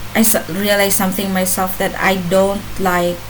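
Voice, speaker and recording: In a non-native accent, a woman speaks at a medium pitch and a very slow pace, her intonation monotone and flat. Noticeable background noise and audible room echo fill the recording. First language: not English. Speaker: vlogger. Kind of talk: casual monologue vlog. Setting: home, laptop camera. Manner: halting, many fillers. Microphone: laptop, bad quality.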